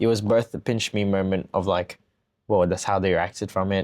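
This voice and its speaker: Fairly low in pitch, a man speaks with fairly even intonation in a very clean recording with a silent background. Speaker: founder of a creative studio, photographer. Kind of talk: casual chat. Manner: soft-spoken.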